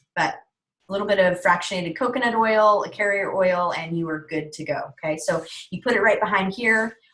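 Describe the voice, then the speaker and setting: A woman talks in an ordinary speaking voice. Her pace is moderate and her pitch variation ordinary. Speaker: essential oils wellness guide. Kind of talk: online presentation webinar. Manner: casual with many fillers.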